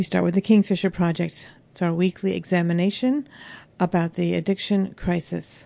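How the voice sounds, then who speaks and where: In an American accent, a woman speaks with a fairly low pitch, a dark, mellow tone and fairly even intonation against a quiet background. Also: moderate pace. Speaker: radio host. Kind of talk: radio presenting. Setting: studio.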